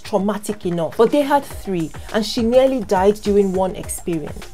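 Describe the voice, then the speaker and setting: With light background noise, a woman speaks at a fairly quick pace with lively intonation. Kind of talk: educational explainer. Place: home room.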